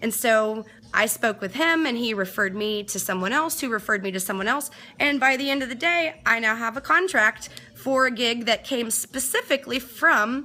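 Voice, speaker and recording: With a bright, sharp and animated tone, a woman speaks at a fairly high pitch. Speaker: DJ and live streamer. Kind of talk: casual live-stream chat. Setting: home studio, live stream. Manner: fast.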